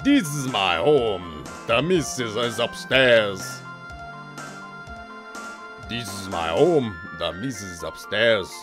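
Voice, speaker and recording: A man performs a put-on character voice at medium pitch and a fairly slow pace. Clear background noise and clear music in the background play behind him. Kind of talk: reading game dialogue aloud. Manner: repetitive, stock NPC delivery.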